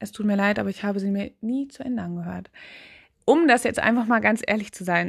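A woman's medium-pitched voice at a fairly quick pace, with ordinary pitch variation and a quiet background. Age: 20s. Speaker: podcaster. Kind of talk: casual monologue. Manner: hesitant, many fillers.

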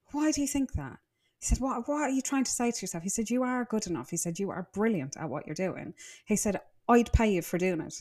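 A woman with an Irish accent speaks at a very fast pace in a fairly high, somewhat breathy voice. Her pitch swings very widely, and the recording is very clean with a silent background. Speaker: interior designer. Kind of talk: casual interview. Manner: animated.

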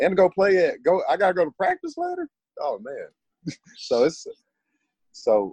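Speaking fairly slowly with long, frequent pauses, a man with an American accent sounds dry and close, with no echo. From Texas, Dallas. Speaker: football player. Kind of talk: interview.

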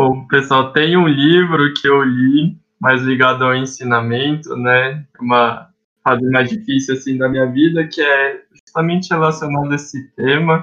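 An ordinary speaking voice, a man's, fairly high in pitch, with fairly even intonation at a fairly slow pace. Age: 20s. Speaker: youth association director. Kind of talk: casual chat.

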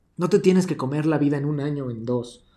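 At a moderate pace, a man with a Mexican accent speaks with a fairly high pitch and ordinary pitch variation. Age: 20s. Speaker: podcast host. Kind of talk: casual monologue. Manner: animated.

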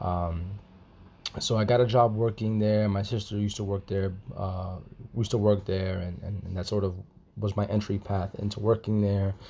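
This man has a fairly low pitch and speaks at a moderate pace. His intonation is monotone and flat. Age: 20s. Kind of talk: personal testimony. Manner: halting, many fillers and repetitions.

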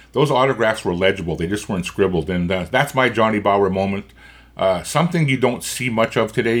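This man has a Canadian prairie accent and a fairly low pitch. He talks at a fairly quick pace with ordinary pitch variation. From Canada, Winnipeg. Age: 60s. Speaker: hockey podcast host. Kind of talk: casual chat. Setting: in person.

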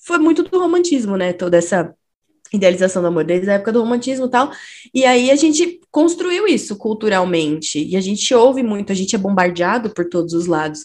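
A woman with a medium pitch speaks at a fairly quick pace, her pitch swinging very widely against a quiet background. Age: 30s. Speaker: psychologist and stay-at-home mother. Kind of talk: casual chat.

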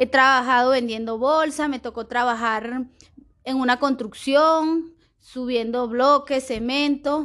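A woman speaks very slowly in a high pitch, her intonation fairly even, over a quiet background. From Venezuela, Aragua state. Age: 30s. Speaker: Venezuelan migrant, preschool teacher. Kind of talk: testimony and cultural presentation.

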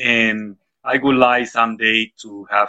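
With a Spanish accent, a man is speaking. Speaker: school principal and English teacher. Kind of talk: interview.

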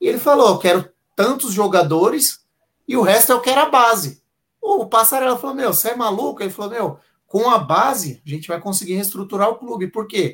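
At a moderate pace, a man speaks with high pitch and lively intonation. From Santo André, São Paulo, Brazil. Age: 30s. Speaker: football fan, history teacher. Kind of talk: casual live-stream chat. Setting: online live stream.

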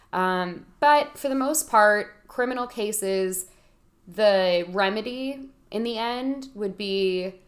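Her pace is very slow. The woman's intonation is lively. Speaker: lawyer, legal expert. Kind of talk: casual explanatory interview.

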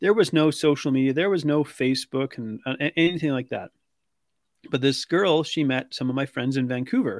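A man with a Canadian accent and a plain, everyday voice talks at a fairly quick pace, his fairly high pitch showing ordinary variation. The very clean recording has a silent background and a dry, close sound with no echo. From British Columbia, Canada. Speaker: weight loss coach. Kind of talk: interview.

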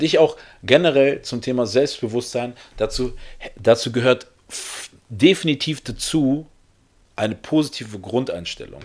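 In an animated tone, a man of medium pitch speaks at a moderate pace with ordinary pitch variation. His loudness swings widely, and his pauses are long and frequent. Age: 30s. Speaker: podcast host. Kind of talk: solo podcast monologue. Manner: halting.

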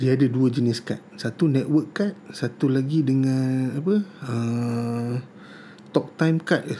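The man's words come very slowly, his medium pitch showing ordinary variation. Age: 40s. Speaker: tech podcast host. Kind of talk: casual solo podcast monologue. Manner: casual, with frequent fillers.

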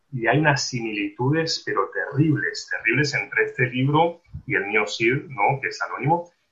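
A man speaks at a moderate pace. He leaves hardly any pauses. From Argentina. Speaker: literary translator and scholar. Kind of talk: interview. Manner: halting, with many repetitions.

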